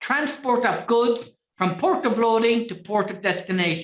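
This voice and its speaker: A woman with an Irish accent speaks at a fairly slow pace. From Ireland. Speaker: trade finance trainer. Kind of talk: webinar lecture. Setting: online webinar.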